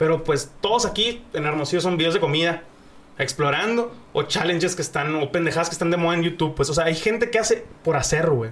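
Fairly quick, high-pitched male voice amid noticeable background noise. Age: 20s. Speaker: streamer and content creator. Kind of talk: casual chat. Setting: studio.

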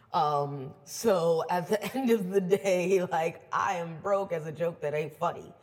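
A woman talks in an animated tone with ordinary pitch variation. Her voice is somewhat breathy. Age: 20s. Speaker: DJ and event organizer. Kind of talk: casual chat.

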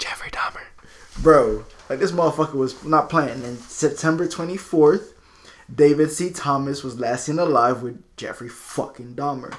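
A fairly high-pitched man talks at a moderate pace with ordinary pitch variation. His loudness swings widely. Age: 30s. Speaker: true crime podcast host. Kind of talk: casual chat. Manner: animated.

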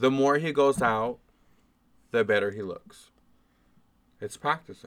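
Soft-spoken and medium in pitch, a man with an American accent talks with ordinary pitch variation and long, frequent pauses. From New Orleans. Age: 20s. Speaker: podcast guest. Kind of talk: casual chat.

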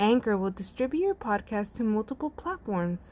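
This woman speaks with a Spanish accent. Her pitch is medium. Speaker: podcast host. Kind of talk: casual interview chat.

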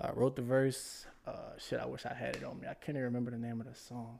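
A man talks with a New Orleans accent. His pace is very fast. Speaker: rapper. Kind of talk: casual chat.

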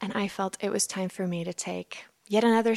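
A woman with an Icelandic accent at a medium pitch and moderate pace, her intonation fairly even, the sound dry and close with no echo on a very clean recording with a silent background. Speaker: writer and speaker. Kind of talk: interview testimony. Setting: small apartment.

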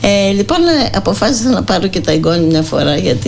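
Delivered at a moderate pace, the speech carries audible room echo and noticeable background noise. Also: woman. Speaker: psychotherapist and volunteer. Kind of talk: radio interview.

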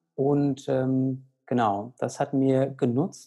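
Fairly high in pitch for a man, his voice carries a dark, mellow tone with ordinary pitch variation. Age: 30s. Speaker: pediatrician and medical director of a nutrition organization. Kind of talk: interview conversation. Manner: hesitant with many fillers.

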